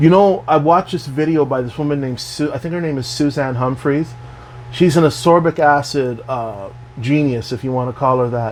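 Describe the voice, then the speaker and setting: A man talks at a fairly quick pace in a medium pitch with ordinary variation. There is noticeable background noise. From Canada. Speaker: health and wellness vlogger. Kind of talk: casual monologue. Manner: animated.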